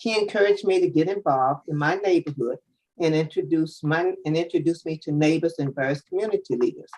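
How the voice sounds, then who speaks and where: Speaking at a very fast pace, a woman with an American accent has a dark, mellow tone and a fairly low pitch. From Washington, D.C. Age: 80s+. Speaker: public witness, civic association president. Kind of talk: public hearing testimony. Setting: video conference.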